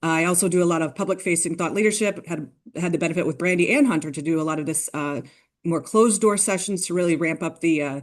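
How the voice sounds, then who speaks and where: A woman talks at a very fast pace, her fairly low pitch showing ordinary variation. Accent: American. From US Midwest. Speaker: climate policy consultant. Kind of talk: panel discussion. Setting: webinar panel.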